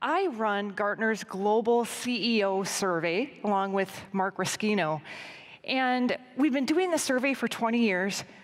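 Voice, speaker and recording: In a plain, everyday voice, a woman with an American accent speaks at a fairly slow pace, her fairly high pitch carried by lively intonation. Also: very even loudness. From US, Denver Colorado. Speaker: business analyst presenting survey research. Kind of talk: conference presentation.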